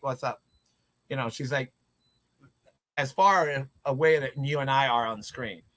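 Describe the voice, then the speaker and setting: Loud and bright with a sharp tone, a man speaks at a moderate pace and a fairly high pitch. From US, Puerto Rican heritage, inner city. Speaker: drama teacher. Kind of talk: casual chat.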